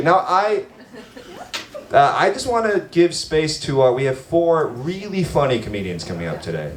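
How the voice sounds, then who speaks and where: Noticeable background noise accompanies a speaker with an American accent at a moderate pace. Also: man. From United States. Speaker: stand-up comedian and show emcee. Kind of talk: stand-up with crowd work. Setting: bar stage with live audience. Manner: animated.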